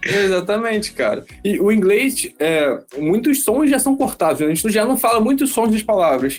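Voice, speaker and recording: At a moderate pace, a man with a high pitch makes very wide pitch swings while keeping very even loudness. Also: hardly any pauses. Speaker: software developer. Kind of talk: casual chat.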